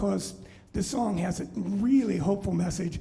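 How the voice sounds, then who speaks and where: A man speaks with a high pitch. Room echo is audible. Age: 60s. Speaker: musician and bandleader. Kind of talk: live show stage talk. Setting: brewery bar, live stream without audience. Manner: casual, halting with fillers.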